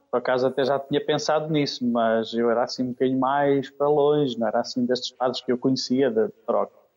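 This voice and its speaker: A man is talking here. His delivery moves at a fairly quick pace. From Oliveira de Azeméis, Aveiro district, Portugal. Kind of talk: radio interview. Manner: halting.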